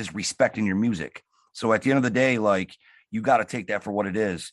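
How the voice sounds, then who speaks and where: Against a quiet background, a man with a medium pitch and an ordinary speaking voice talks at a fairly quick pace with ordinary pitch variation, the sound dry and close with no echo. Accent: American. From Detroit. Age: 30s. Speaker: hip hop producer. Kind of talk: casual interview.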